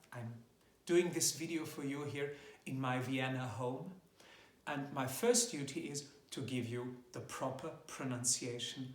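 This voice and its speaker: A man with a German accent talks at a fairly slow pace and medium pitch, somewhat breathy, with fairly even intonation, long, frequent pauses and audible room echo. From German-speaking Europe. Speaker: classical tenor singer. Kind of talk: tutorial. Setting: home video recording.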